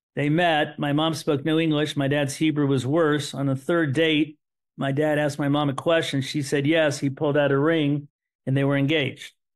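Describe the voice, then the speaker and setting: A man with a Midwestern American accent at a fairly high pitch, monotone and flat, very even in loudness, at a moderate pace. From US Midwest, Terre Haute, Indiana. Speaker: son of Holocaust survivors, author. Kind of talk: podcast interview, personal storytelling. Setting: podcast.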